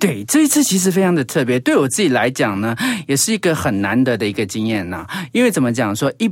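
At a very fast pace, a man of medium pitch speaks with very wide pitch swings. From Taiwan, Hsinchu (Zhudong), Hakka. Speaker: radio host and travel writer. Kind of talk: casual interview. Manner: animated.

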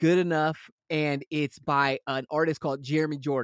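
On a very clean recording with a silent background, a man with an American accent speaks in an energetic tone, the sound dry and close with no echo. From Los Angeles area, US. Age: 30s. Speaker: rock singer, frontman. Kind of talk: casual interview chat.

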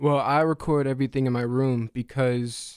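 A man with an ordinary speaking voice talks at a fairly slow pace and medium pitch with fairly even intonation, in a dry, close sound with no echo. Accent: American. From North Carolina, Raleigh. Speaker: musician, college student. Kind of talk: radio interview, casual chat. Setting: radio studio.

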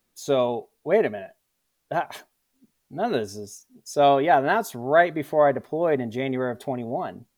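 A normal speaking voice in an American accent, with big swings in loudness, on a very clean recording with a silent background. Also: man, fairly high pitch for a man, lively intonation, moderate pace. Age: 30s. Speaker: combat veteran. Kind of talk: interview.

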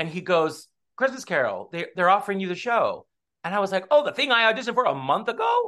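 Very fast and raised to project, a man's high, bright, sharp voice carries an American accent and lively intonation. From US West Coast (Southern California). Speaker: stage actor. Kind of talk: casual interview.

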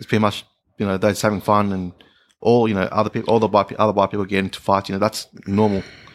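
With an Australian accent, a man talks at a very fast pace. His fairly low voice stays in a flat monotone. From Melbourne, Australia. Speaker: IT worker. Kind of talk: casual chat.

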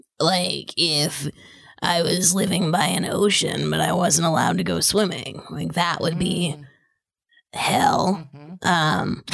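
A woman uses a put-on character voice that is raspy and fairly low in pitch. She delivers it at a fairly slow pace. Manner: relaxed, mild, a little hesitant.

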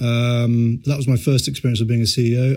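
At a fairly quick pace, a man speaks at a medium pitch in a somewhat breathy voice. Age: 40s. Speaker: startup founder and CEO. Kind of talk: interview.

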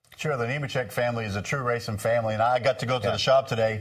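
Very fast speech from a man with an American accent at a medium pitch, over noticeable background noise. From Maine, US. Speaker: NASCAR crew chief and TV analyst. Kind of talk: casual panel chat.

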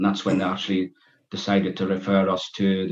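This man has a northeast English accent and a fairly low pitch. He talks at a very fast pace. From northeast England, Berwick-upon-Tweed. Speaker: author and reformed gangster. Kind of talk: podcast interview. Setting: video call. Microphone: poor sound quality over zoom.

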